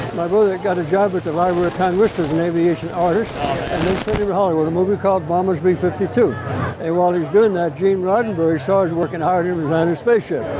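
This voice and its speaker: Over noticeable background noise, a man speaks at a very fast pace in a high pitch with ordinary pitch variation. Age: 90s. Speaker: WWII veteran and author. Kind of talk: casual interview. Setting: public event with passers-by.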